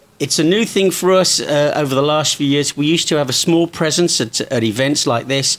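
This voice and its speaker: Speaking with an English accent, a man with a fairly high pitch keeps a fairly quick pace, very even loudness and ordinary pitch variation. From England. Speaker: event coordinator for a smoke grenade company. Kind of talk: interview.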